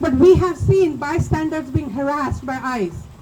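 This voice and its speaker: With noticeable background noise behind her, a woman speaks at a moderate pace in a non-native accent. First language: not English. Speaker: community speaker at vigil. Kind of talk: public speech at protest vigil. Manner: impassioned.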